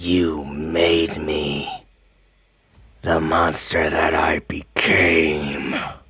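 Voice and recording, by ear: Using a put-on character voice, a man speaks at a very slow pace with an extremely low pitch, little pitch movement and a bright, sharp tone.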